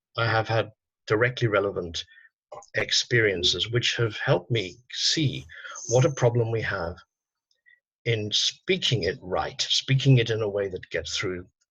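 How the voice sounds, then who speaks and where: A man's bright, sharp tone with ordinary pitch variation, a fairly slow pace and long, frequent pauses. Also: medium pitch for a man. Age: 60s. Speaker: psychotherapist and activist. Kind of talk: interview conversation.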